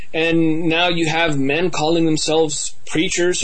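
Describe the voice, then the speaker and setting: A man's high-pitched voice at a moderate pace, with audible room echo and noticeable background noise. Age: young. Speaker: evangelist and ministry leader.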